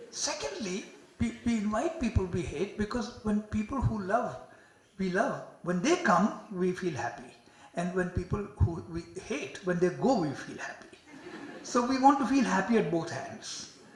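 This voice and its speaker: A man with a non-native accent speaks at a high pitch and a moderate pace, his pitch swinging very widely. Noticeable background noise and audible room echo fill the recording. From India. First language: not English. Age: 70s. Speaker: psychiatry professor. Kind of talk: lecture.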